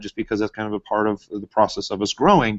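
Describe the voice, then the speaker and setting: Very fast speech from a man at medium pitch, dry and close with no echo, over a quiet background. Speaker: social media marketing trainer, business owner. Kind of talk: live webinar class. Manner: loud; casual, many fillers.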